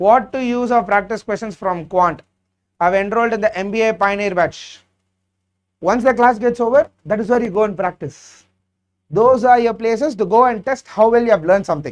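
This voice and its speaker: A man with a Tamil accent speaks at a fairly quick pace. His pitch is high, with ordinary variation. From South India, Chennai. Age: 30s. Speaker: exam prep teacher. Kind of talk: live Q&A session. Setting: live stream.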